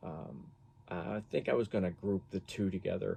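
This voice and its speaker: At a fairly slow pace, a man speaks with a fairly low pitch and a dark, mellow tone. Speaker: guitar hobbyist reviewer. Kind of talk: casual product review. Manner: monotone; halting, many fillers.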